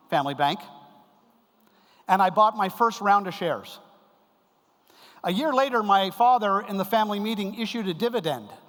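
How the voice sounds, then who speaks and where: Here a man with a Canadian accent speaks high in pitch and fairly quickly, leaving long, frequent pauses. The recording is very clean, with a silent background. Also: ordinary pitch variation. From Canada. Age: 60s. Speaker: keynote speaker on family business. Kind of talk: conference lecture. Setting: stage with audience.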